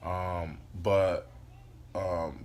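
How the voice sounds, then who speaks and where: Fairly even intonation is heard along with audible room echo. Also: man. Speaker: life coach vlogger. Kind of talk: casual motivational monologue. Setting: indoors, sitting on the floor by a window. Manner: loud; hesitant, many fillers.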